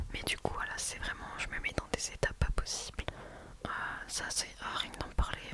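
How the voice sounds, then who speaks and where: Noticeable background noise accompanies a woman whispering at a moderate pace. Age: 20s. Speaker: ASMR creator. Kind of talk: ASMR Q&A, close-mic whispering and casual chat. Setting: close microphone, home recording. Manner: soft-spoken, whispery, friendly.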